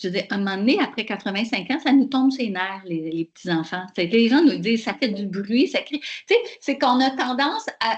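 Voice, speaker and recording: A woman's fairly high, somewhat breathy voice with lively intonation at a moderate pace. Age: 60s. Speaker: professor. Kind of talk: webinar Q&A answer.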